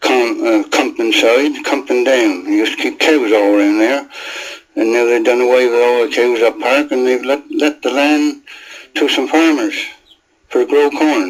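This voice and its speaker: With a South East England accent, a man speaks at a medium pitch and moderate pace, with ordinary pitch variation and very even loudness. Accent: traditional rural South East England dialect. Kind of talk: interview answer.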